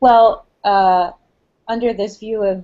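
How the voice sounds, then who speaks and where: The speaker is a woman. Her voice sits at a medium pitch. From New Jersey, US. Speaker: linguistics professor. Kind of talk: academic interview.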